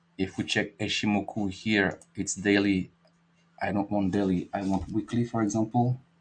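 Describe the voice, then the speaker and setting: A man speaks at a moderate pace in a fairly low voice, his intonation flat and monotone. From France. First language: French. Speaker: market analyst and trading educator. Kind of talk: live market analysis webinar. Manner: halting, with many fillers.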